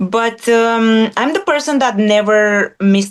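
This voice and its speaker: The speaker has a non-native accent and fairly even intonation. Background noise is noticeable. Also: woman. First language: not English. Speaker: former MMA fighter turned analyst. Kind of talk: interview.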